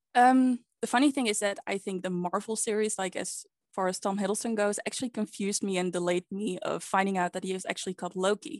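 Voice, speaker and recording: A woman with a Dutch accent talks at a very fast pace in a medium pitch, with ordinary pitch variation. The sound is dry and close with no echo, over a quiet background. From Netherlands. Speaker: podcast guest, pagan practitioner. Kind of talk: casual chat.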